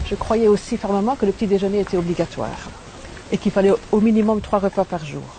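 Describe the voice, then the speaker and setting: This woman talks at a very fast pace with fairly even intonation. Her pitch is medium, and there is noticeable background noise. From Belgium. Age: 60s. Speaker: raw food diet testimonial speaker. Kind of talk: testimony.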